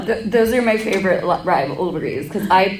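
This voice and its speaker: A woman talks at a fairly quick pace, with noticeable background noise around her. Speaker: convention panelist, cosplayer. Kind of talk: casual, joking. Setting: convention panel.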